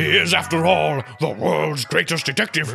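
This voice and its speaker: Putting on a character voice, a man speaks at a moderate pace and medium pitch with very wide pitch swings over clear background noise. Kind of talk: comic overacting. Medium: comedy sketch. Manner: plummy, pompous, fond of hmm and ah.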